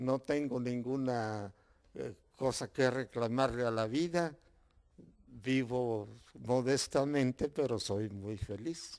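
A man's very slow speech, with long, frequent pauses, ordinary pitch variation and a quiet background. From Mexico. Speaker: local author and former mayor; interviewee. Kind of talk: interview. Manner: halting. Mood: calm, content. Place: home room. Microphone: handheld.

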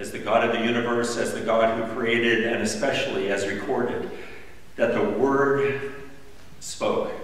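Strong room echo is heard around a man. He speaks at a fairly slow pace. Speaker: pastor. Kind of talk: guided prayer. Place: church. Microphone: camera far.

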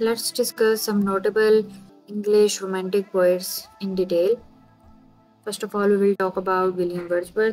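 Music plays in the background as a woman speaks with a non-native accent at a moderate pace. Her voice sits at medium pitch with a monotone, flat intonation. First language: not English. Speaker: literature lecturer. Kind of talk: educational lecture.

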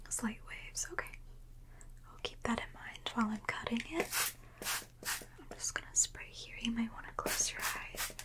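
A woman speaking at a moderate pace against loud background noise. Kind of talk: soft-spoken role-play, addressing the viewer as a client. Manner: soft-spoken, gentle close-mic ASMR voice. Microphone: studio mic.

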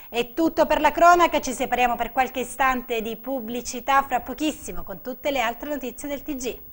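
A woman with a high pitch speaks at a fairly quick pace, hardly pausing at all. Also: ordinary pitch variation. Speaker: TV news anchor. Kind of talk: formal TV news bulletin reading crime headlines. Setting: TV studio. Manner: formal, brisk and even, anchor-style delivery; neutral, steady and authoritative. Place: studio.

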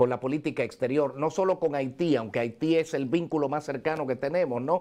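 This man speaks at a moderate pace with ordinary pitch variation. His pitch is fairly high. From Dominican Republic. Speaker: TV show host. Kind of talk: live TV interview. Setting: on location in New York. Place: office.

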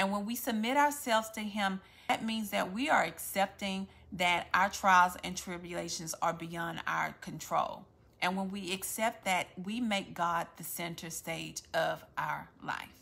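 A woman with a Louisiana accent speaks at a fairly slow pace in a bright, sharp tone with ordinary pitch variation. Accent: Southern US (Louisiana). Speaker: faith-based content creator. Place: home room. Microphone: phone near.

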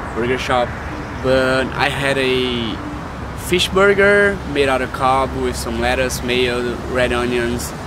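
Against noticeable background noise, a man with a Brazilian accent speaks at a very slow pace, his voice dry with no echo. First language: Portuguese. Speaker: vlogger, international student. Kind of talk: casual vlog talk to camera. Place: street.

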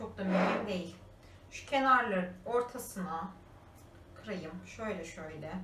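A voice at a very slow pace, with long, frequent pauses, big swings in loudness, ordinary pitch variation, audible room echo and light background noise. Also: woman. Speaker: lifestyle vlogger. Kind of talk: casual vlog while baking. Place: kitchen. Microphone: camera far.

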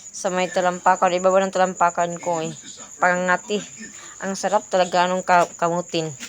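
Over noticeable background noise, a woman speaks fairly quickly at a medium pitch in a monotone, flat intonation. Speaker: vlogger. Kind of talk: casual vlog. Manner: halting, many fillers.

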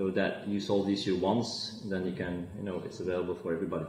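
A man speaks in a Flemish accent at a fairly low pitch. His monotone, flat intonation carries audible room echo. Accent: Belgian (Flemish) English. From Belgium. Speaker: fintech entrepreneur; guest. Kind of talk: interview; interview answer. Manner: halting, many fillers. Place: office. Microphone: video call.

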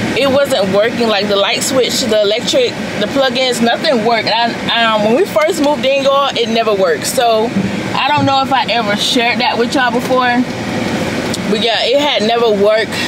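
Loud background noise fills the recording. Through it, a woman talks at a fairly quick pace. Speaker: vlogger. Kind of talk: casual vlog talk to camera. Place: car. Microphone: phone near.

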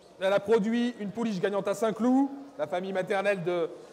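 Noticeable background noise beneath a man's high voice. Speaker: auctioneer. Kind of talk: live auction calling.

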